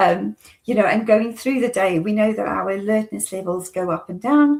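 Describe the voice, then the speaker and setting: At a moderate pace, a woman with a fairly high, somewhat breathy voice speaks with ordinary pitch variation. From South Africa. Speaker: occupational therapy consultant. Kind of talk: interview conversation. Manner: halting with many fillers.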